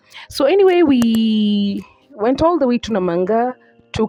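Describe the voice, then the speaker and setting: With music in the background, a woman talks at a fairly slow pace using lively intonation. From Kenya. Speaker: travel vlogger. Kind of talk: travel vlog narration. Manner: casual.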